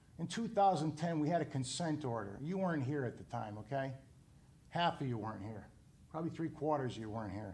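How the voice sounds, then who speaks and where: A man's very fast, somewhat breathy speech, fairly high in pitch with lively intonation. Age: 60s. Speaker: property owner. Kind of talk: heated debate. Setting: town committee meeting. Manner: animated.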